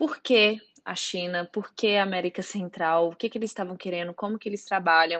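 The speaker has a plain, everyday voice, ordinary pitch variation and a moderate pace. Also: woman. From Brazil, Belo Horizonte (Minas Gerais). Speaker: marketing manager at a drone company. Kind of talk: interview.

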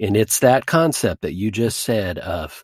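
A man's plain, everyday voice, medium in pitch, with an American accent, at a fairly slow pace, in a dry, close sound with no echo. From North Texas, Duncanville. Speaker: comedy podcast host and improviser. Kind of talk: casual interview.

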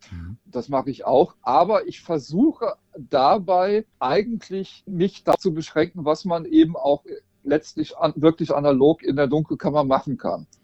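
An unremarkable speaking voice talks at a fairly slow pace. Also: man, fairly high pitch for a man, ordinary pitch variation. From Rhineland, western Germany. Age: 50s. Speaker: portrait photographer. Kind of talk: casual interview.

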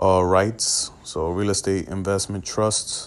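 An American accent at a fairly slow pace. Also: man. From New York City. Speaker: trading group founder, podcast host. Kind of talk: casual Q&A monologue. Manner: hesitant, many fillers.

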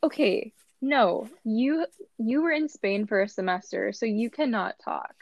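At a fairly slow pace, a woman with a fairly high voice speaks with lively intonation. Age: 20s. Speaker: podcast co-host, college student. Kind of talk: casual chat. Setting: remote recording.

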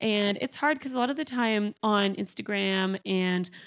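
A woman's medium-pitched voice, clear and smooth, fairly slow, with ordinary pitch variation, on a very clean recording with a silent background

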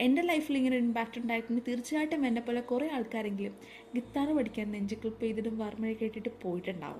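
Fairly high-pitched female speech with ordinary pitch variation, over noticeable background noise. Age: 20s. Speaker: podcast host, film reviewer. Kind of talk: film review monologue. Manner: animated.

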